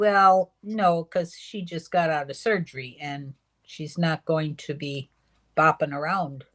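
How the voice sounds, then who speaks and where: Speech comes at a very slow pace with big swings in loudness. The sound is dry and close, with no echo. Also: woman, very deep, low pitch for a woman, ordinary pitch variation. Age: 70s. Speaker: livestream co-host, grandmother. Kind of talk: casual chat.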